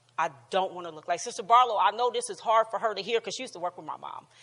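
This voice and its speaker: A woman's animated voice at a very fast pace, with ordinary pitch variation. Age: 60s. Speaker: relationship class teacher. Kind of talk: teaching talk with personal testimony. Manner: animated, repetitive; halting.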